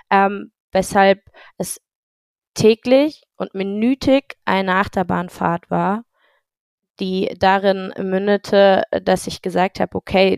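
A woman speaks at a medium pitch, leaving long, frequent pauses. The recording is very clean and dry, with a close sound, no echo and a silent background. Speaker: startup founder, former handball player. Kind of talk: podcast interview.

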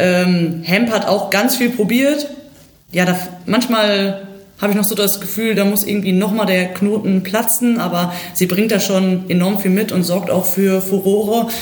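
The speaker talks fairly slowly with very even loudness and fairly even intonation, with audible room echo and noticeable background noise. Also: woman, medium pitch for a woman. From Germany, Ruhr area (Bochum). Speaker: football coach and former player. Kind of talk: casual football analysis.

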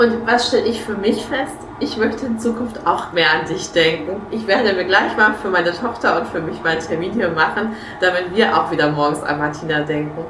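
Through noticeable background noise and audible room echo, a woman speaks at a medium pitch with lively intonation. Her pace is moderate. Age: 20s. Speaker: podcast host and life coach. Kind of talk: casual interview. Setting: hair salon, on location.

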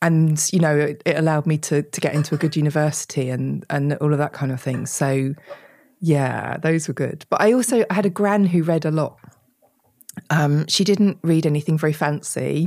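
In an English accent, a woman with a very deep, low pitch speaks at a moderate pace with ordinary pitch variation. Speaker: author. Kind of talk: interview conversation.

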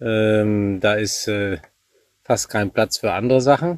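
A male speaker with a medium pitch delivers his words fairly slowly. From Germany, Münsterland (Warendorf). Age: 40s. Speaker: eventing rider and national youth coach. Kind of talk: casual interview. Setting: at the family farm.

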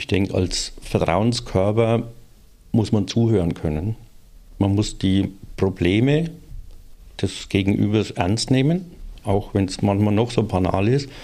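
Fairly low in pitch, this man's voice has a dark, mellow tone and ordinary pitch variation. He talks at a fairly slow pace with long, frequent pauses. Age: 60s. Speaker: works council representative. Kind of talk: casual chat.

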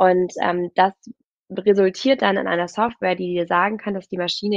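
A woman talks at a fairly quick pace in a medium pitch, with fairly even intonation. She has an ordinary speaking voice. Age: 20s. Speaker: startup founder and CEO. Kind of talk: podcast interview. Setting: remote virtual studio.

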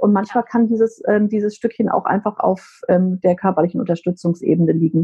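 A woman speaks in an unremarkable speaking voice at a medium pitch and a fairly quick pace. Her intonation is fairly even and her loudness very even. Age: 50s. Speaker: menopause coach and psychotherapy practitioner. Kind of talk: casual chat.

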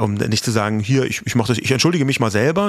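A man talks at a very fast pace, medium in pitch with ordinary pitch variation. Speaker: podcast host. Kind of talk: casual chat.

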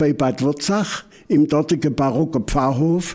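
A man with an Upper Swabian accent speaks very slowly. His tone is dark and mellow, his pitch fairly high. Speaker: folk culture expert. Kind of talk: interview. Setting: museum.

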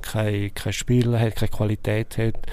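A man talks at a fairly slow pace in a medium pitch. His intonation is monotone and flat. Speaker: sports journalist. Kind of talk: casual chat.

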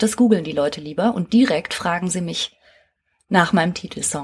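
Somewhat breathy, a woman speaks with lively intonation. The recording is very clean, with a silent background. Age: 40s. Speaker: psychotherapist and podcast host. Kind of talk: solo podcast monologue. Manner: lively, casual.

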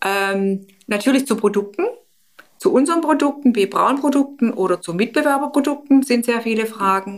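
In an unremarkable speaking voice, a woman talks with lively intonation at a fairly high pitch. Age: 50s. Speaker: stoma nurse. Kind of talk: interview.

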